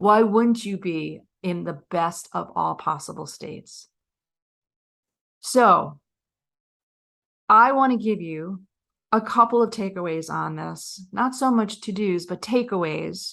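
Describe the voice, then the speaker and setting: A woman at a medium pitch, talking at a very slow pace with long, frequent pauses, big swings in loudness and ordinary pitch variation, over a quiet background. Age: 50s. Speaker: confidence coach and podcast host. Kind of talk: podcast talk.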